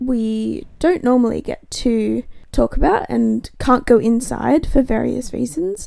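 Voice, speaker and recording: The speaker is a woman with an Australian accent. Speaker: podcast host. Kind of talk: casual conversational podcast. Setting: recording from home, remote.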